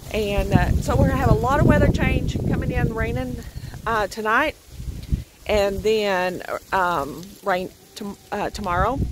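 The speech moves at a moderate pace. The sound is dry with no echo, and background noise is noticeable. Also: woman. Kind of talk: casual vlog chat. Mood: calm, informative. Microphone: phone near.

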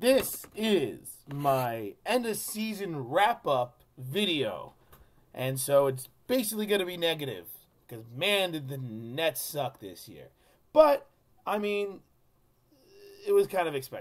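Pitched high, a man's voice moves through very wide pitch swings. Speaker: sports fan vlogger. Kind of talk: casual vlog chat. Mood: frank, somewhat critical. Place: home room. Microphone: webcam.

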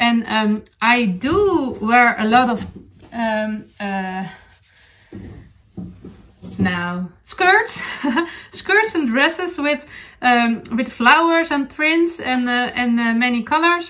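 Speaking very slowly, a woman uses a Dutch accent and lively intonation. Her voice is fairly high-pitched with a fairly bright tone.

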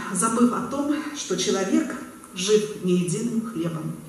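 A woman speaks with lively intonation. Light background noise and audible room echo are present. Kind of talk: formal ceremonial speech. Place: hall. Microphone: pa.

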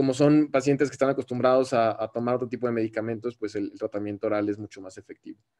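Talking at a very fast pace, a man with a Mexican accent has a medium pitch and a dark, mellow tone. His intonation is fairly even, but his loudness swings widely. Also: quiet background. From Mexico. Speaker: ophthalmologist. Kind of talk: lecture. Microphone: webcam.

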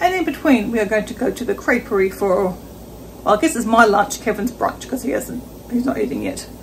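A fairly quick pace with light background noise behind it. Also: woman. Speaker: travel vlogger. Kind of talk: casual vlog chat. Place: kitchen. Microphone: phone near.

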